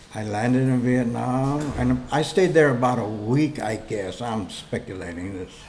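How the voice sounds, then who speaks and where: Music plays in the background as a man speaks with ordinary pitch variation amid audible room echo. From Los Angeles, California. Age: 60s. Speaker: war veteran. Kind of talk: personal testimony. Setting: story recording booth.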